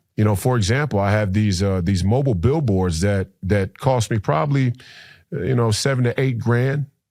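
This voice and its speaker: Speaking at a moderate pace in an American accent, a man has an ordinary speaking voice, a fairly low pitch and ordinary pitch variation. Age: 30s. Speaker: political candidate and former basketball player. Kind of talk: podcast interview. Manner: frequent repetitions and fillers.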